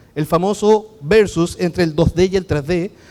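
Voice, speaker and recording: A man with a Chilean accent speaks at a high pitch with ordinary pitch variation, on a very clean recording with a silent background. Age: 40s. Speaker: architect and BIM consultant. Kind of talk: conference talk. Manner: fast.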